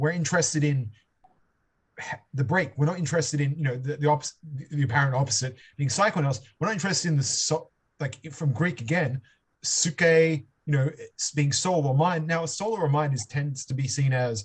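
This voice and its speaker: This man talks at a fairly quick pace with a fairly high pitch. His voice is somewhat breathy. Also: ordinary pitch variation. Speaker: seminar leader on philosophy. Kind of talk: seminar discussion. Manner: halting, many repetitions and fillers; improvised, thinking aloud.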